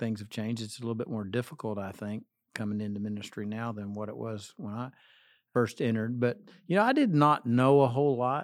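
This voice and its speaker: In an unremarkable speaking voice, a man talks at a fairly quick pace and medium pitch with ordinary pitch variation and big swings in loudness, on a very clean recording with a silent background. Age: 60s. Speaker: associate pastor. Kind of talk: interview.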